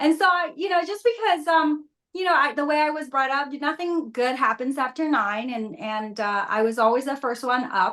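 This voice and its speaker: A woman speaks with a Vietnamese accent in a high pitch. Her tone is bright and sharp. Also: lively intonation, moderate pace. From Vietnam, moved to US at 14. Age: 50s. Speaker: reality TV contestant and Pilates instructor. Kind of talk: interview.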